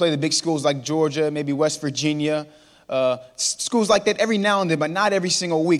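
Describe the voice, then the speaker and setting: A man with an American accent talks at a very fast pace, his pitch high for a man and his pitch variation ordinary. The recording is very clean, with a silent background. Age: 20s. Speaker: motivational speaker. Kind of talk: inspirational talk. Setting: church stage with audience.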